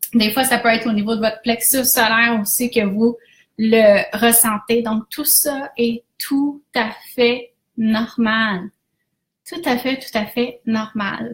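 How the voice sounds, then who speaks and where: Speaking very slowly in a Quebec accent, a woman keeps a fairly high pitch and fairly even intonation. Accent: Québécois French. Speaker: business coach. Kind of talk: live stream talk. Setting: Facebook Live.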